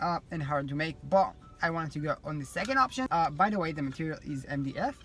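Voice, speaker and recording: Music in the background behind a man's fairly high-pitched voice, fairly quick and with lively intonation. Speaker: vlogger and design student. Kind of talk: casual vlog chat. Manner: rambling with many fillers.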